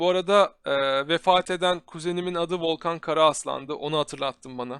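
A man's high, animated voice with ordinary pitch variation. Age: 20s. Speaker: tech YouTuber. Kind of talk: live stream chat and PC build tutorial. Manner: casual, animated.

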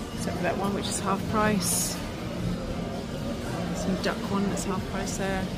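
The speaking pace is fairly slow, with music playing behind it. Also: woman. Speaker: shopping vlogger. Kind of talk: commentary. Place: shop. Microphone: phone near.

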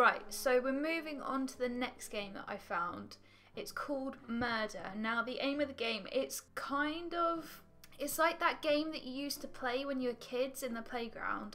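Faint music plays behind a woman who speaks at a fairly slow pace in a high voice with ordinary pitch variation. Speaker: gaming video creator. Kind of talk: casual gameplay commentary. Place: home room.

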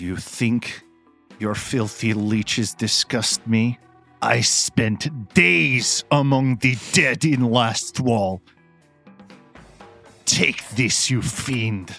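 A man's put-on character voice at medium pitch, very slow with long, frequent pauses, plus hissing and faint background music. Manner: hissed through teeth; disgusted, fierce.

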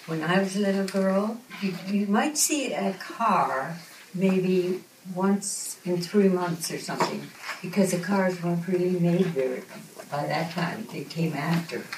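A woman is speaking. Audible room echo and noticeable background noise are present. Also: medium pitch for a woman, ordinary pitch variation, fairly slow pace. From Saskatchewan, Canada. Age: 80s+. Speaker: centenarian school guest. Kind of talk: answering children's questions. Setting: kindergarten classroom.

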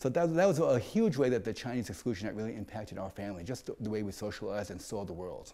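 The voice has a dark, mellow tone and lively intonation. It runs at a very fast pace with hardly any pauses. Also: man, fairly low pitch for a man. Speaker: interviewee. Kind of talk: interview answer. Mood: reflective, animated. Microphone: lapel.

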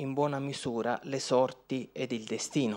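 Fairly slow speech over a quiet background. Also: man. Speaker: law professor. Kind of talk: conference talk. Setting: lecture hall with audience. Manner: structured, formal. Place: hall. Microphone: podium.

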